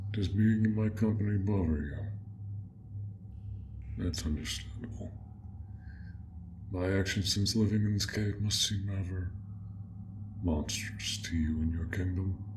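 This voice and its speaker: Clear background noise accompanies a man using a put-on character voice. His pitch is fairly low and his pace moderate. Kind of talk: audio role play. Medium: role play. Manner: soft-spoken, polite.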